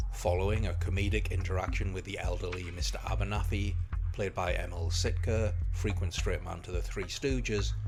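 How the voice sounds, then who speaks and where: Music behind a man talking at a fairly quick pace. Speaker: film reviewer. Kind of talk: film review narration.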